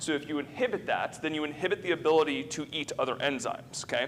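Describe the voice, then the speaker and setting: A man talks, and his pitch varies in an ordinary way. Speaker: physician lecturer. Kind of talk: lecture. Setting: conference room with audience. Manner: fast; filler-heavy, conversational.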